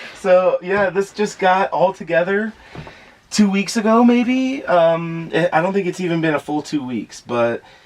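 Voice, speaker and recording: There is noticeable background noise behind this man. He speaks with an American accent at a high pitch. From Florida. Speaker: van dweller. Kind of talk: casual chat.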